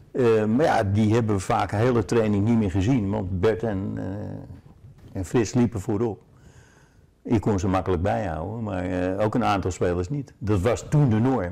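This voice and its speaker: A man talks at a moderate pace, his pitch fairly low with ordinary variation. His tone is dark and mellow. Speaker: former football player or coach. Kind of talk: interview answer. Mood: relaxed, reminiscing, humorous. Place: home room. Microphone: lapel.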